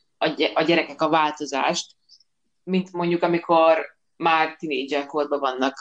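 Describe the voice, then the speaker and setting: This woman's voice is very deep and low. She talks at a moderate pace. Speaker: podcaster. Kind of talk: casual chat.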